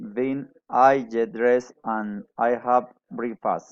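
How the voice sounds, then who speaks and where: In a Colombian accent, a man speaks at a medium pitch and a very slow pace with fairly even intonation. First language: Spanish. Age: 40s. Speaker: adult English student. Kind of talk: class presentation. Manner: halting, with many hesitations.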